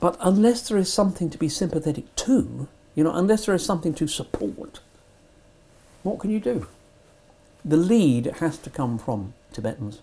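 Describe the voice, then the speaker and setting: A man with a British accent speaks at a high pitch in a dark, mellow tone. His pitch swings very widely, and he takes long, frequent pauses. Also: moderate pace. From Britain. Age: 80s+. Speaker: Tibet supporter. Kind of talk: interview. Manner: halting.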